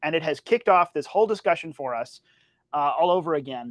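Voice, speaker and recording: A man talks loudly at a moderate pace, his pitch high. The recording is very clean, with a silent background. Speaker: political podcast co-host. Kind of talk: casual political discussion.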